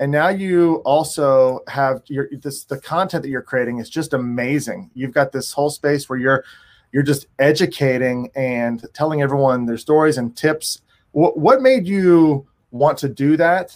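In a very clean recording with a silent background, a man talks fairly slowly in an ordinary speaking voice, pitched fairly high with ordinary pitch variation. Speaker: podcast co-host. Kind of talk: podcast interview.

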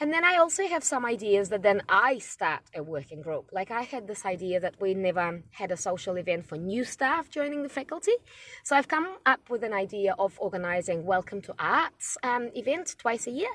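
A woman talks with hardly any pauses at a fairly high pitch. Her pitch swings very widely. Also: moderate pace. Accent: non-native. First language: not English. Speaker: podcaster, university student centre manager. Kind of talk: casual monologue. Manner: hesitant, many fillers.

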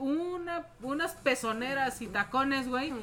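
A woman with a high pitch and ordinary pitch variation takes a fairly slow pace. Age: 40s. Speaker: podcast co-host. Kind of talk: casual chat.

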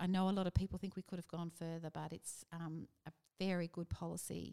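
With an Australian accent, a woman talks at a moderate pace in a fairly low, dark, mellow voice, her intonation monotone and flat, the sound dry and close with no echo. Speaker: politician, former union leader. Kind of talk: casual interview.

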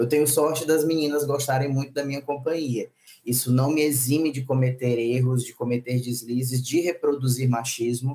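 At a moderate pace, a man speaks in a medium pitch with a dark, mellow tone, a somewhat breathy quality and monotone, flat intonation. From Maranhão, northeast Brazil. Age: 30s. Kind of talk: casual chat.

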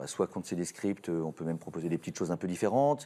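On a very clean recording with a silent background, a man with a dark, mellow tone talks at a very fast pace. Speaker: voice actor, guest. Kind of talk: casual chat.

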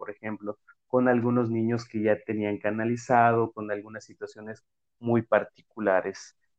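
The man talks at a fairly slow pace. His medium-pitched voice stays monotone and flat. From Mexico. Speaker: podcast host, physical education teacher. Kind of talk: casual interview.

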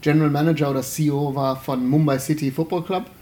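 The man's voice is fairly high in pitch. He speaks at a moderate pace in a flat monotone. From Germany, Remscheid (Bergisches Land). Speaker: podcast host. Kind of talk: casual chat.

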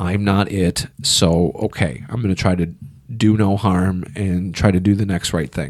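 In an American accent, a man speaks with a very deep, low pitch. He goes at a fairly slow pace with ordinary pitch variation. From Illinois, US Midwest. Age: 30s. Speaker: stand-up comedian. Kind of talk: casual chat.

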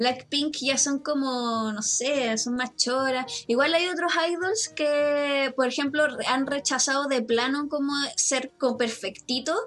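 At a very slow pace, a woman with a Chilean accent talks in a high pitch with ordinary pitch variation over noticeable background noise. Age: 30s. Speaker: teacher and podcaster. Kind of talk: casual chat.

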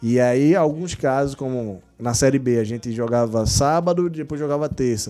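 A man speaks at a moderate pace with a dark, mellow tone, medium pitch, ordinary pitch variation and hardly any pauses. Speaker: physiotherapist of a football club. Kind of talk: casual interview.

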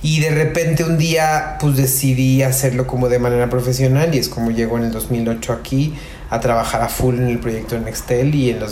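A man talks at a moderate pace and medium pitch with ordinary pitch variation. Audible room echo and noticeable background noise fill the recording. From Mexico, Querétaro. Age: 30s. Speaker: fashion marketing and PR expert. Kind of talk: interview.

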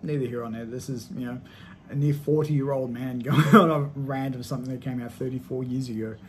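A man's medium-pitched, somewhat breathy voice carries audible room echo. His intonation is fairly even, while his loudness swings widely. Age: 30s. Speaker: podcast host and movie reviewer. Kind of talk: solo movie review monologue. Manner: casual, with frequent fillers.

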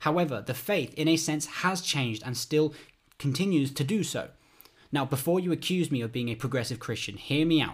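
A man with a British accent, moderate pace and ordinary pitch variation. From United Kingdom. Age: 20s. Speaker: podcast host, theology student. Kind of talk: solo podcast monologue.

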